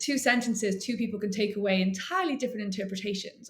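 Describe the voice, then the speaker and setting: A woman with a Welsh accent speaks at a medium pitch with ordinary pitch variation amid noticeable background noise. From Wales. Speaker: author and literary agent. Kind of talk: interview.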